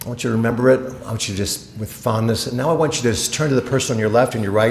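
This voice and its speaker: Speech comes at a fairly quick pace, with noticeable background noise underneath. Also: man. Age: 60s. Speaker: motivational speaker. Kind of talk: keynote speech. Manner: animated.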